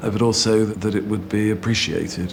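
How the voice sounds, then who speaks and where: A man's fairly low voice at a fairly slow pace, with noticeable background noise. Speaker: literary scholar or critic. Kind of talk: interview answer, academic commentary.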